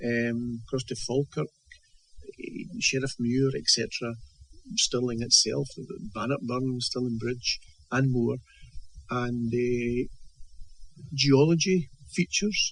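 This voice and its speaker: A man with a Scottish accent talks at a very slow pace in a somewhat breathy, medium-pitched voice, with ordinary pitch variation and long, frequent pauses. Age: 70s. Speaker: author. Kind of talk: interview. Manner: halting, many repetitions and fillers.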